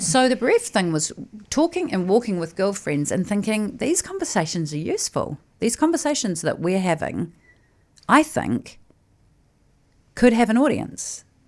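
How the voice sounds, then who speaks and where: A woman's fairly high voice in a New Zealand accent, with very wide pitch swings, moderate pace and long, frequent pauses, on a very clean recording with a silent background. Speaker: podcast host, former TV presenter. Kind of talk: casual interview chat.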